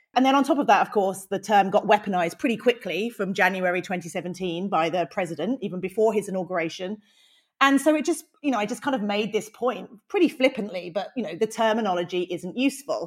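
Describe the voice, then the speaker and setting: A woman with a British accent talks at a very fast pace with lively intonation and medium pitch. The recording is very clean, with a silent background. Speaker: misinformation researcher. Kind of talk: interview answers, explanatory.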